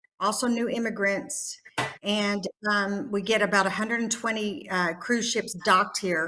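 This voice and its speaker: A woman with a Texas accent talks at a moderate pace and medium pitch, her tone bright and sharp and her intonation fairly even. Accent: Texas twang. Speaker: nurse practitioner educator. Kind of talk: conference presentation.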